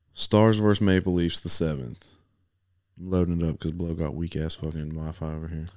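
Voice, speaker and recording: A very clean recording with a silent background: a man with an American accent, very deep low pitch, fairly even intonation and a fairly quick pace. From US, not Texas. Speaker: podcast co-host. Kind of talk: casual chat.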